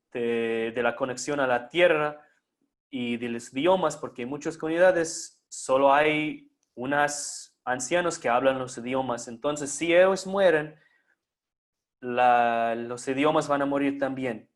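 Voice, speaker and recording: A man with a non-native accent speaks at a fairly slow pace in a fairly high pitch, his pitch varying in an ordinary way. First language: not Spanish (speaking Spanish). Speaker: conference speaker. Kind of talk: lecture. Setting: online live stream. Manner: halting.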